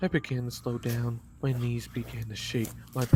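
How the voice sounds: Natural voice, reading aloud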